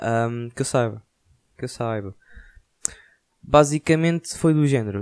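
A man speaks with a European Portuguese accent at a fairly slow pace, with ordinary pitch variation. He leaves long, frequent pauses. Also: medium pitch for a man. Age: 20s. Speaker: podcaster. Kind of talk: casual monologue.

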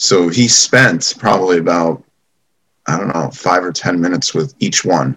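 In an American accent, a man talks at a moderate pace with a very deep, low pitch, lively intonation and vocal fry. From New York, Long Island. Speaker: event marketing entrepreneur. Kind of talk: casual interview. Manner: hesitant, many fillers.

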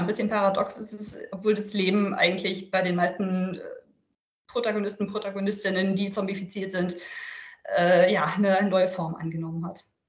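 A woman talks at a moderate speed, with room echo clearly audible. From northern Germany, Lüneburg Heath. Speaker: author and journalist. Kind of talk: interview.

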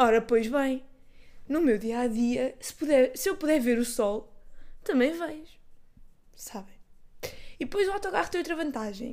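A woman's high, animated voice in a European Portuguese accent, with lively intonation, big swings in loudness, a fairly slow pace and long, frequent pauses. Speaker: podcaster. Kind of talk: casual solo monologue. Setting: bedroom at home.

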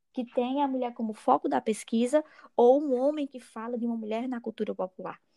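A woman with a high pitch and a dark, mellow tone speaks at a fairly quick pace, recorded dry and close with no echo. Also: ordinary pitch variation. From Alto Sertão of Paraíba, Brazil. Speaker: undergraduate student, project scholarship holder. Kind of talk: casual podcast conversation. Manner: halting with many fillers.

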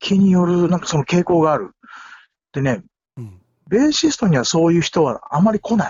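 A man with a high pitch talks with lively intonation and big swings in loudness. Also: moderate pace. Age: 50s. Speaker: musician. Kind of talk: casual chat. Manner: animated.

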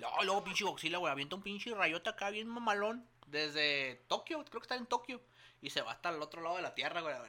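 This man speaks very fast in a raised, projected voice with a high pitch. His tone is bright and sharp, and his pitch swings very widely. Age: 30s. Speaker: podcast co-host. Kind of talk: casual chat. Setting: studio.

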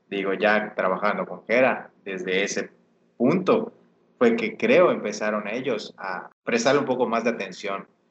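A man has a normal speaking voice and a medium pitch. His intonation is lively and his pace fairly slow. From Mexico, Yucatán. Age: 20s. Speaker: urban music artist. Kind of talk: casual interview chat.

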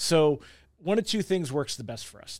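Over a silent background on a very clean recording, a man with a plain, everyday voice talks fairly quickly at a fairly high pitch with ordinary pitch variation. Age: 40s. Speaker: business owner. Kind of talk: casual chat.

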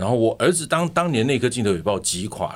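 The man has an ordinary speaking voice. He talks at a moderate pace with lively intonation. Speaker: podcast host and actor. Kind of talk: casual interview chat.

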